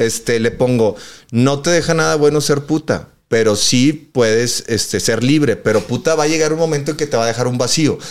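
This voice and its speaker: The speaker has a Mexican accent, a moderate pace, ordinary pitch variation and very even loudness. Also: man, medium pitch for a man. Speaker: podcast host. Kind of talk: casual chat. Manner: animated.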